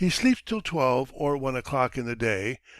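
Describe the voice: What you hear here is plain reading aloud.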